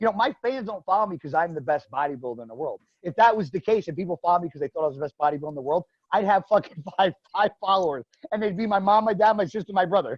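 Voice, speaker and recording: A man talks loudly and very fast, his high-pitched voice full of lively intonation. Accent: New Jersey. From New Jersey. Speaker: professional bodybuilder. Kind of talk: casual interview chat.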